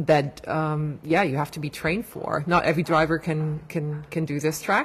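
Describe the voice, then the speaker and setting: Somewhat breathy, this voice keeps to a moderate speed. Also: woman. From Germany. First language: German. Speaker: motorsport PR director. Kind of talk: casual interview. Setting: public area.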